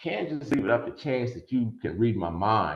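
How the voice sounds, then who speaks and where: Audible room echo surrounds a man speaking at a medium pitch in a somewhat breathy voice. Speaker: attorney and workshop presenter. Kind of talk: online workshop lecture. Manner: fast.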